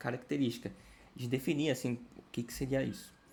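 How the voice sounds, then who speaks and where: A man's voice is heard. It sits at a medium pitch. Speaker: study group instructor. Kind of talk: lecture. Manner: fast.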